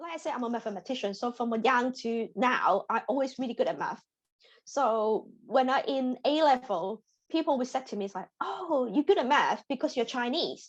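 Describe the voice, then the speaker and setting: A woman speaks in a Hong Kong accent at a high pitch with ordinary pitch variation. Her pace is moderate and the background quiet. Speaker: data scientist. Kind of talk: interview testimony. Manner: halting, repetitive.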